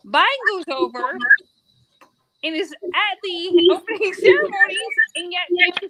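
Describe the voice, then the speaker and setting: Projecting a raised voice with an American accent, a woman speaks at an extremely high pitch with lively intonation. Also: dry, close sound with no echo. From USA. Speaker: athlete. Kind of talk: casual chat.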